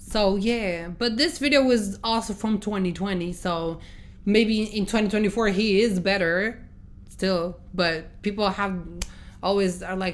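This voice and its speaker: With a non-native accent, a woman talks at a medium pitch. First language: not English. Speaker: reaction youtuber. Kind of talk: casual chat.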